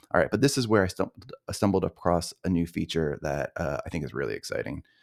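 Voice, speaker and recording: Over a silent background in a very clean recording, a man with a very deep, low voice and vocal fry rattles along at a very fast pace. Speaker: software developer demoing his product. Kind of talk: screen-share tutorial demo. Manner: casual, many filler words.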